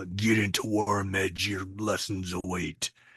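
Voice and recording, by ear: Using a put-on character voice, a man speaks in a raspy, fairly low register, with monotone, flat intonation and a fairly slow pace.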